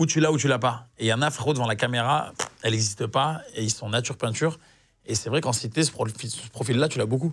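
A man's somewhat breathy, medium-pitched voice at a very fast pace against a quiet background. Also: ordinary pitch variation. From southern France, Nîmes; southern France. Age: 30s. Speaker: actor. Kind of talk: casual chat. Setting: studio. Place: studio. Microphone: lapel.

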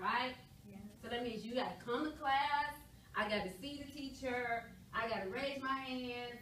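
A woman's high voice with ordinary pitch variation at a fairly slow pace, with light background noise and audible room echo. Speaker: instructor teaching adult students. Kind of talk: lecture. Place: classroom. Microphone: camera far.

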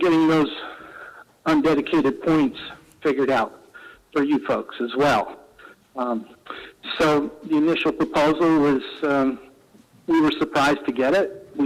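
A fairly slow pace with long, frequent pauses and ordinary pitch variation. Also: man. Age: 60s. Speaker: member of the public giving comment. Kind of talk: public comment at council meeting. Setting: council meeting. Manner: halting, with many fillers.

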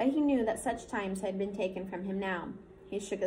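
Here someone is reading aloud in a natural voice. The pitch shows ordinary variation.

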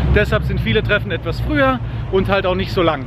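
A man's very fast speech, dry with no echo, over noticeable background noise. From Germany. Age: 40s. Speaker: car vlogger. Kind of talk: vlog walkthrough commentary. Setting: outdoors. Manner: casual. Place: street. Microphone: phone near.

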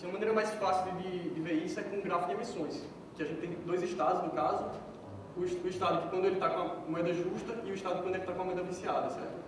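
Through strong room echo and noticeable background noise, a man talks at a very fast pace in a high, monotone voice with flat intonation. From Brazil, Pernambuco (Petrolina). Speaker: software developer giving a conference talk. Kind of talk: conference talk. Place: hall.

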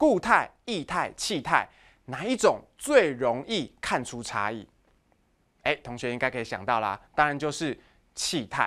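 Against a quiet background, a man with a Taiwanese accent speaks fairly slowly at a fairly high pitch in a bright, sharp tone, his pitch swinging very widely and his loudness rising and falling sharply. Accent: Taiwanese Mandarin. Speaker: high school physics teacher. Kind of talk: lecture. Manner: animated.

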